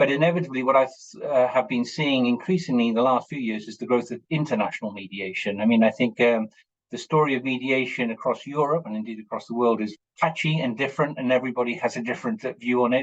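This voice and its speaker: A man with an English accent talks at medium pitch. His pace is fairly quick, with ordinary pitch variation. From England. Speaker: lawyer and mediator. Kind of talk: webinar talk. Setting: video call. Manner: hesitant, many fillers.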